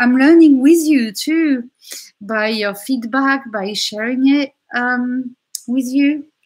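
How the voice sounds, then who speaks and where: In a French accent, the speaker uses lively intonation. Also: woman. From France. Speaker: tarot reader. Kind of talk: tarot reading chat.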